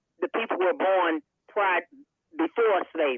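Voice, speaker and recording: A woman speaks fairly slowly with an eastern North Carolina accent. Her medium-pitched voice has lively intonation. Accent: eastern North Carolina Southern. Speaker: town councilwoman. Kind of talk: panel discussion. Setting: radio studio panel.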